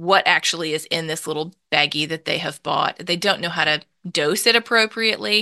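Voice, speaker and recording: Against a quiet background, a woman with a Southern US accent speaks in a fairly low, bright, sharp voice with ordinary pitch variation, the sound dry and close with no echo. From Mississippi, US South. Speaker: nonprofit founder and author. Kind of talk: interview.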